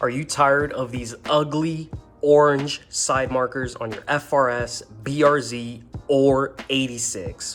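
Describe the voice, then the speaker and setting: A man with a medium pitch talks while music plays in the background. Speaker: car enthusiast. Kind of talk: casual car install tutorial to camera. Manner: monotone.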